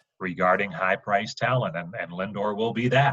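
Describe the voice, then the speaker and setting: Music sounds in the background. Over it, a man speaks at a moderate pace. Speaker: baseball radio play-by-play broadcaster. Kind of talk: podcast interview answer.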